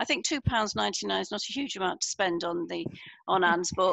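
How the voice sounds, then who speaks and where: A woman speaks at a fairly quick pace with vocal fry, her voice dry with no echo against a quiet background. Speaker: book coach and publisher; book coach. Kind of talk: online interview. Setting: video call. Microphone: headset.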